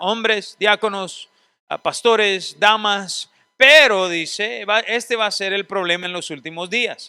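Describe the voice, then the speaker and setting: The man has a high pitch and a bright, sharp tone, with ordinary pitch variation. He uses a raised, projected voice at a moderate pace on a very clean recording with a silent background. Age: 40s. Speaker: seminary teacher. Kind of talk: lecture.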